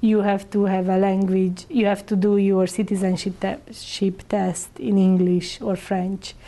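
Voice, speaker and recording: A woman with a Hungarian accent speaks at a fairly slow pace in a medium pitch, her dark, mellow tone held monotone and flat at a very even loudness. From Hungary. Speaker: immigrant integration council coordinator. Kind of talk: interview answer. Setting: interview.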